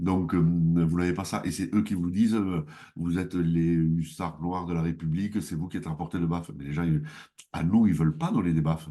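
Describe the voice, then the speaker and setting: Over a quiet background, a man with a southwestern French accent speaks at a very deep, low pitch in a dark, mellow tone, at a moderate pace with ordinary pitch variation. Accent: southwest French. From southwest France. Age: 60s. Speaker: mayor. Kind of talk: interview. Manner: hesitant, many fillers.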